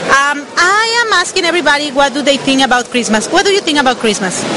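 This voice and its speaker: Over crowd noise, a woman with a Spanish accent projects her raised, high voice at a very fast pace, her pitch swinging very widely. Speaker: radio host doing street interviews. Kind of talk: vox pop street interview.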